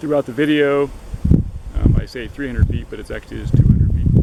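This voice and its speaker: Over noticeable background noise, a man delivers his words very fast. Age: 60s. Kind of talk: casual DIY narration to camera. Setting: outdoors.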